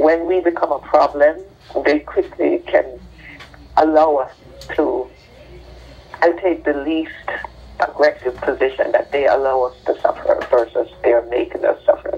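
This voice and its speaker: The speech is broken by long, frequent pauses. Noticeable background noise runs underneath. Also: fairly slow pace. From Jamaica. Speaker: doctor, trauma expert. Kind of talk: interview.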